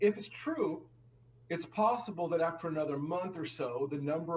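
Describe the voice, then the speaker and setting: Fairly high in pitch with ordinary variation, a man talks at a moderate pace in a plain, everyday voice. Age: 60s. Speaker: finance show co-host. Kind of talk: conversational discussion.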